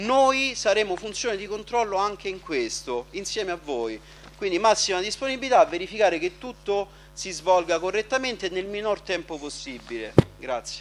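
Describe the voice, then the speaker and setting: A man's high-pitched voice at a moderate pace, with very wide pitch swings. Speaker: local councillor. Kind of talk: formal council speech. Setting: council chamber. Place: hall. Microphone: podium.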